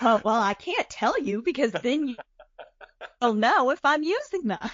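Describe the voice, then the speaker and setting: Over music in the background, a woman with a Southern US accent and a warm tone talks at a moderate pace in a high pitch with very wide pitch swings. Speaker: podcast co-host. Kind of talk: casual chat. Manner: folksy, warm.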